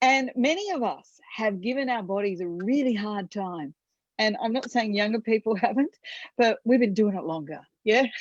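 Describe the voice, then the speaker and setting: In a plain, everyday voice, a woman speaks at a fairly high pitch and moderate pace, her intonation lively, the sound dry and close with no echo and the background quiet. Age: 50s. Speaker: wellness app team leader. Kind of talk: team call talk.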